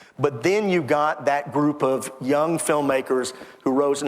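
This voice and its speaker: A speaker with an American accent is heard over noticeable background noise. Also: man. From Texas (Temple). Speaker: author and historian. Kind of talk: interview.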